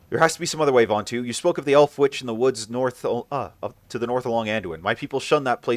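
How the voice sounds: Ordinary pitch variation within a natural reading voice.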